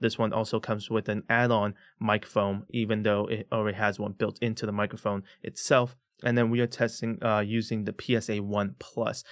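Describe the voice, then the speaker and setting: With fairly even intonation, a man speaks over a quiet background. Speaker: tech reviewer. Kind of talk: product review talk. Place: studio. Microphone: studio mic.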